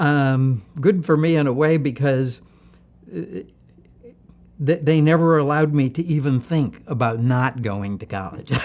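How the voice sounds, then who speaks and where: A man with a Midwestern American accent at a fairly slow pace, with long, frequent pauses and ordinary pitch variation. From US Midwest, Ohio (Barberton near Akron). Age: 70s. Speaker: computer architect. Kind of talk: oral history interview. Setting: museum interview. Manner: hesitant, many fillers.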